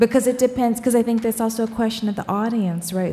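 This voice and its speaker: A woman at a fairly high pitch with fairly even intonation, against noticeable background noise. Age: 50s. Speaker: author and scholar. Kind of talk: panel discussion on stage. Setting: stage with live audience.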